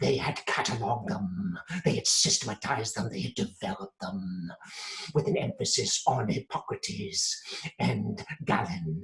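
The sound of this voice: Putting on a character voice, a man with a fairly low pitch and fairly bright tone swings his pitch very widely at a fairly slow pace.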